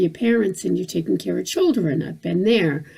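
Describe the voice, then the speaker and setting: A woman speaks over noticeable background noise. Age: 60s. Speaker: vlogger. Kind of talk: personal vlog monologue. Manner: halting, many repetitions and fillers.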